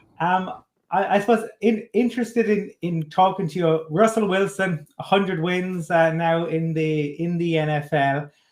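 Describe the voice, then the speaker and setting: With an Irish accent, a man speaks at a high pitch and a moderate pace, with ordinary pitch variation and hardly any pauses. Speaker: podcast host. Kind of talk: interview. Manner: halting.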